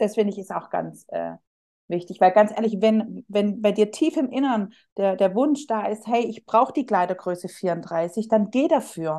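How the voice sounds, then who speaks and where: At a moderate pace, a woman speaks with a fairly high pitch and lively intonation. Her tone is dark and mellow. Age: 30s. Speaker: psychological counselor. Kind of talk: casual interview chat.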